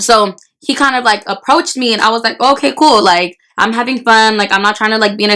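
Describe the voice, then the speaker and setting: The speech comes very fast and loud. Its tone is bright and sharp. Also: woman. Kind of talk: casual storytelling to camera while eating. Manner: loud, fast, repetitive; talks with mouth full.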